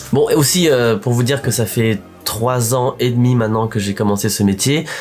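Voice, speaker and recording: Music sits behind a man speaking at medium pitch. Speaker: actor and vlogger. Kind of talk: casual vlog talk. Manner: hesitant, many fillers.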